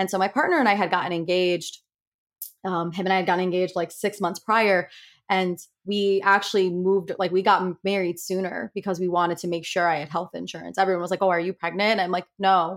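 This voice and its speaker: Using monotone, flat intonation, a woman with an American accent talks at a very fast pace and medium pitch. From Connecticut. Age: 30s. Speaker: psychology professor and breast cancer survivor. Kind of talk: interview.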